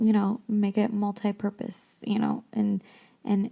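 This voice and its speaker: Somewhat breathy and dark, mellow in tone, a woman speaks very slowly at a medium pitch. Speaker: podcast host. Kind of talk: casual book discussion podcast. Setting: home craft room. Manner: quieter than usual, speaking softly; hesitant, many ums and restarts.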